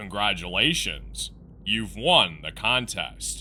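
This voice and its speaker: A man in a put-on character voice at a fairly slow pace, with clear background noise. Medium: read story. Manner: curt, commanding.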